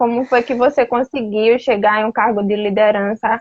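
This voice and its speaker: Fairly slow speech from a woman, dry, close sound with no echo. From Alagoas, Brazil. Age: young. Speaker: youth interviewer. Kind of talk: interview. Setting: live video stream. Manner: slow, deliberate.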